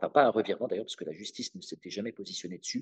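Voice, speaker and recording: The recording is dry and close, with no echo. It's a man talking. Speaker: legal trainer. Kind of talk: webinar presentation. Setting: online webinar. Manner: fast; hesitant, many fillers.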